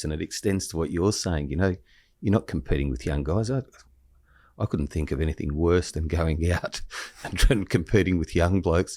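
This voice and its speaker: Speaking at a fairly quick pace, a man with an Australian accent has a very deep, low pitch and a dark, mellow tone, heard in a very clean recording with a silent background. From Australia, Shellharbour NSW. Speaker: criminal lawyer and podcast host. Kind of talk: casual chat. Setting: stage with audience.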